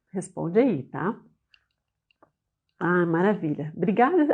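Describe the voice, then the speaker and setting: A woman with an ordinary speaking voice talks at medium pitch with lively intonation. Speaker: business owner and trainer. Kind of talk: online class. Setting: live online session.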